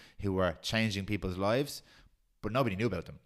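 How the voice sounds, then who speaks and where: In a Dublin accent, a man speaks with a very deep, low pitch on a very clean recording with a silent background. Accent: Dublin Irish. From Ireland, Swords (north Dublin). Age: 30s. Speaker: podcast producer. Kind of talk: casual chat.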